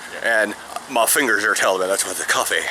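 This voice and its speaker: A man speaks against noticeable background noise. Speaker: semi-pro football player. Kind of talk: casual vlog talk.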